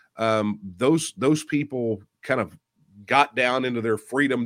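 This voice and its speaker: On a very clean recording with a silent background, a man with a Texan accent and ordinary pitch variation sounds dry and close, with no echo. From Texas. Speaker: author and political candidate. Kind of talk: interview discussion.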